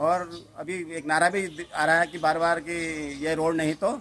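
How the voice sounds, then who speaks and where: A man talks in a normal speaking voice, pitched fairly high, with ordinary pitch variation. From Uttarakhand, Garhwal. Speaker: local resident. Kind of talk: street interview.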